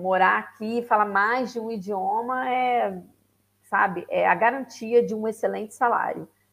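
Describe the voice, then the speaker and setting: With a Rio de Janeiro accent, a woman speaks at a fairly high pitch. Her pace is fairly slow and her intonation fairly even. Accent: Carioca Brazilian Portuguese. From Rio de Janeiro, Brazil. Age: 40s. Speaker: lawyer and immigrant to Portugal. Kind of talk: casual interview on a live stream.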